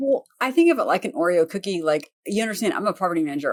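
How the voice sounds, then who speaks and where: A woman talks with a Southern accent. Her pitch swings very widely. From US South. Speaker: property manager and real estate investor. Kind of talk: podcast interview.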